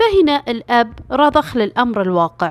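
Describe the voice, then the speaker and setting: Very slowly, a woman speaks with very wide pitch swings. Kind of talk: true crime story narration. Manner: casual storytelling.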